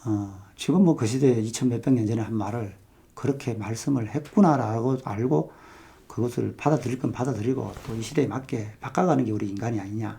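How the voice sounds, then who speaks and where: A man with a medium pitch talks at a fairly quick pace, his tone dark and mellow and somewhat breathy. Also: ordinary pitch variation. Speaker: photography youtuber. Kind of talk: casual monologue on photography. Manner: fast; hesitant, many fillers.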